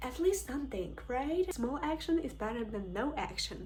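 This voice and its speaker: A woman with a Ukrainian accent speaks at a moderate pace. Background noise is noticeable. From Ukraine. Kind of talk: casual talk to camera.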